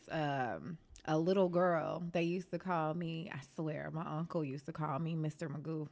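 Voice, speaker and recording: A woman with an American accent and an ordinary speaking voice talks at a moderate pace and fairly low pitch with fairly even intonation, in a very clean recording with a silent background. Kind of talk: casual conversation interview.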